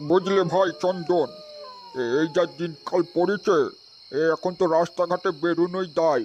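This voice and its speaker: A man does a cartoonish character voice, pitched high, at a moderate pace. Clear background noise sits behind him. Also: fairly even intonation. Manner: hesitant, stammering with filler sounds.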